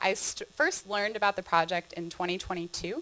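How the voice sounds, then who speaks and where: In a California accent, a woman speaks very fast at a medium pitch with a bright, sharp tone. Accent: obvious California. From California, San Diego. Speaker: trail director, presenter. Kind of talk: conference presentation. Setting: stage with audience.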